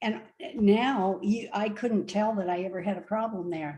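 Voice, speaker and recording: Somewhat breathy and dark, mellow in tone, a woman at medium pitch speaks at a fairly slow pace with ordinary pitch variation. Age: 70s. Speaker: retired nurse, plant-based diet advocate. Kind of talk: casual interview. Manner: hesitant, many fillers.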